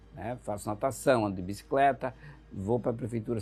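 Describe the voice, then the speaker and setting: Over music in the background, the voice moves through ordinary pitch variation. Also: man. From Santa Catarina midwest, Brazil (Joaçaba). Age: 60s. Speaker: writer and journalist. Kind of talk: interview. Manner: hesitant, many fillers.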